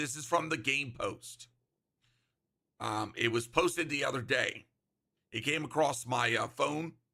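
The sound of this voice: In a put-on character voice, the speaker sounds raspy, moving at a moderate pace with long, frequent pauses. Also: man, fairly high pitch for a man.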